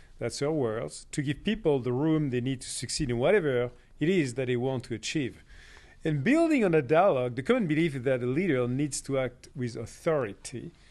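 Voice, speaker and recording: A fairly quick man's voice of medium pitch with a French accent, ordinary pitch variation and a quiet background. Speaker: podcast host. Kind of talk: interview.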